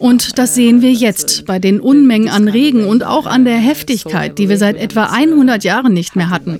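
A woman talks at a moderate pace with ordinary pitch variation and hardly any pauses, against noticeable background noise. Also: fairly high pitch for a woman. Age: 30s. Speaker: newspaper editor. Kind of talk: interview. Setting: outdoors.

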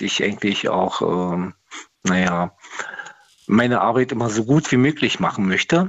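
A man's voice with ordinary pitch variation. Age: 50s. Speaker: steelworker, caller. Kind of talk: radio call-in.

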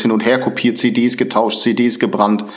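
The man's intonation stays monotone and flat. He keeps a moderate pace. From northern Germany, Lübeck. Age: 40s. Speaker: former neo-Nazi turned prevention speaker. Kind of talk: interview.

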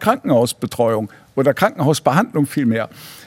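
This man speaks at a moderate pace. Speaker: physician. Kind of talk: interview. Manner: hesitant, many fillers.

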